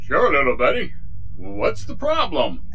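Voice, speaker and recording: Moderately paced speech in a put-on character voice, over clear background noise. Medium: audio drama. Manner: folksy, easygoing.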